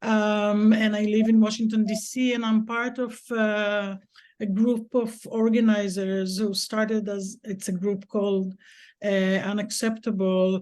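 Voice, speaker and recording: A woman speaks with an Israeli accent, fairly high-pitched and at a fairly slow pace. Her intonation is monotone and flat over a quiet background. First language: Hebrew. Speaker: activist organizer. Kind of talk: comment in panel discussion.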